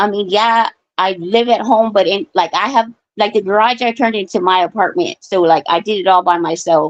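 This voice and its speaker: At a fairly quick pace and medium pitch, a woman speaks in an ordinary speaking voice with ordinary pitch variation, the sound dry and close with no echo. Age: 40s. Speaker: caller on live stream open forum. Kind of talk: casual chat.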